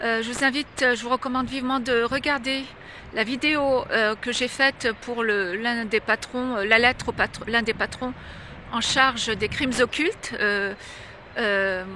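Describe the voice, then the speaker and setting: Amid noticeable background noise, a woman with a high voice speaks at a fairly slow pace and with fairly even intonation. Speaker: religious video blogger. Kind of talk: direct-to-camera monologue. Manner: halting, many hesitations.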